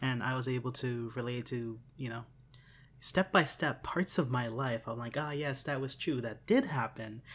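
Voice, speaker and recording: A man with a medium-pitched, somewhat breathy voice talks at a fairly slow pace with fairly even intonation, recorded very cleanly against a silent background. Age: 20s. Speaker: podcast host. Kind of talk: casual chat.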